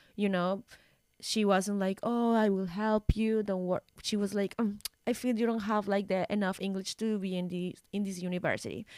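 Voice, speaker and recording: On a very clean recording with a silent background and a dry, close sound with no echo, a woman with a Spanish accent speaks at a moderate pace in a monotone, flat intonation. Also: medium pitch for a woman. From Colombia. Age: 20s. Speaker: model and journalist. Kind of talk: casual interview chat. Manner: halting.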